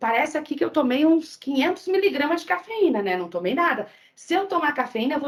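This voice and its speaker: Her pitch high for a woman, she talks at a fairly quick pace with very wide pitch swings. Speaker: sports nutritionist. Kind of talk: lecture. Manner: fast; animated.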